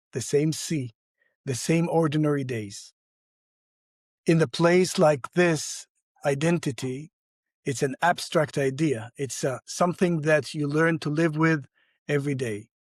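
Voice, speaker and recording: A man with an Arabic accent and a fairly high pitch speaks at a fairly slow pace with long, frequent pauses, in a dry, close sound with no echo and a very clean recording with a silent background. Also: ordinary pitch variation. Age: 60s. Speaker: entrepreneur and community leader. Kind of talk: podcast interview.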